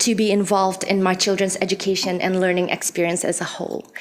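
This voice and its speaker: Noticeable background noise surrounds a woman's voice. She has a non-native accent and a fairly quick pace. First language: not English. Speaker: parent giving public comment. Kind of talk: public comment speech. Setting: podium at public board meeting. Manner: halting.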